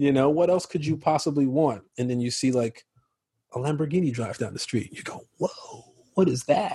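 In an American accent, a man speaks at a moderate pace and a fairly high pitch. His tone is dark and mellow, and somewhat breathy. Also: ordinary pitch variation. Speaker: actor. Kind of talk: casual interview. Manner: animated.

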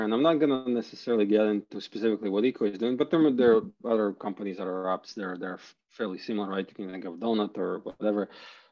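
A man at medium pitch and a very fast pace, with ordinary pitch variation and big swings in loudness. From Ukraine (Kharkiv), then Canada. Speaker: crypto startup founder. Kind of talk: interview. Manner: hesitant, many fillers and repeats.

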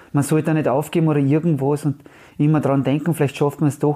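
The man has a dark, mellow tone. He talks at a fairly quick pace. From Austria, Carinthia. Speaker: retired footballer. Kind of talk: interview. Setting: at home.

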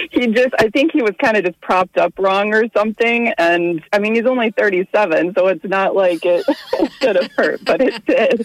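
A woman with an unremarkable speaking voice talks at a moderate pace with hardly any pauses, fairly high in pitch and lively in intonation. Her loudness stays very even, and the sound is dry and close with no echo. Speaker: caller. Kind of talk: casual chat. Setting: phone call.

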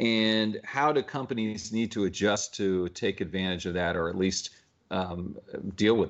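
A man's fairly low, unremarkable speaking voice at a moderate pace, with ordinary pitch variation. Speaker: interviewer. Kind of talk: interview.

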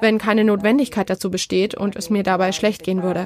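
Using a Spanish accent, a woman speaks at a fairly quick pace. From Spain, Madrid. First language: Spanish (speaking German). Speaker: terror attack survivor. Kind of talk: testimony.

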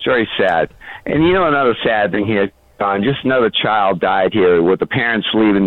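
Speaking at a fairly quick pace, a man has a fairly low pitch. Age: 60s. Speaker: caller. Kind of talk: casual chat. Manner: halting.

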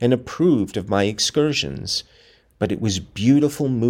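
The text comes in a natural reading voice.

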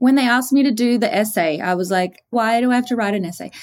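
A woman speaks in an Australian accent at a very fast pace. Her pitch is high and her intonation lively. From Australia, small coastal town. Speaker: beauty influencer and founder.

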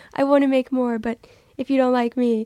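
A woman's high-pitched voice with an American accent and monotone, flat intonation, in a dry, close sound with no echo. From Texas, Dallas area. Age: 20s. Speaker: internet video creator. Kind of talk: casual chat.

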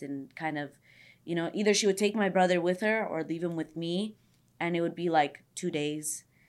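Recorded very cleanly against a silent background, a woman with an American accent speaks at a moderate pace with fairly even intonation. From San Fernando Valley, California. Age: 20s. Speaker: social media creator. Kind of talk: casual chat.

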